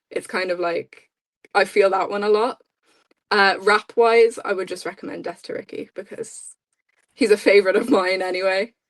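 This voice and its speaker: A woman's monotone, flat delivery at a moderate pace in an Irish accent, with big swings in loudness. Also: medium pitch for a woman. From Ireland. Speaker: podcast co-host. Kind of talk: casual chat.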